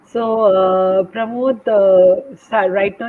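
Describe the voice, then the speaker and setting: Noticeable background noise surrounds a woman speaking at a medium pitch with ordinary pitch variation. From India, Delhi. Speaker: English teacher. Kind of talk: English practice conversation.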